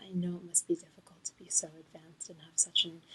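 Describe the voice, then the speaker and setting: Soft-spoken delivery at a moderate pace. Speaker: ASMR creator. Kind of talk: soft-spoken ASMR tutorial.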